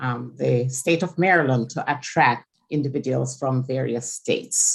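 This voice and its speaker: A woman with a Jamaican accent speaks at a fairly slow pace in a very deep, low voice with vocal fry and ordinary pitch variation. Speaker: state board member. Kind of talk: legislative testimony. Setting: committee hearing, live streamed.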